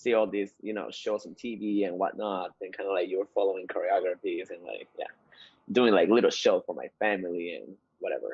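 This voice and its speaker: This man talks at a fairly quick pace. He has a Spanish accent. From Peru. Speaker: dancer and dance instructor. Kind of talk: interview.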